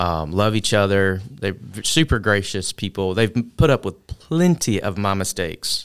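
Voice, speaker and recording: A man with a normal speaking voice, fairly low in pitch, at a moderate pace with lively intonation and hardly any pauses. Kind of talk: casual interview chat.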